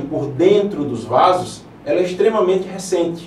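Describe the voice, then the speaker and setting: Through audible room echo and noticeable background noise, a man with a high pitch speaks at a moderate pace with ordinary pitch variation. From Paraíba, Brazilian Northeast (João Pessoa). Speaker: interventional radiologist, physician. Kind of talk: TV interview. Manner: hesitant, filler words.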